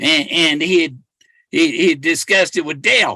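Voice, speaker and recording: With ordinary pitch variation, the man delivers his words at a fairly slow pace. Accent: American. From California. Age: 60s. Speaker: treasure hunter and livestreamer. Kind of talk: casual livestream monologue. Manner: halting, many repetitions and restarts.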